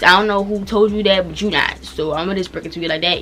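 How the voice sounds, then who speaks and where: A woman talks with an American accent. Noticeable background noise is present. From Washington DC area. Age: young. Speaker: YouTuber. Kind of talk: casual talk to camera.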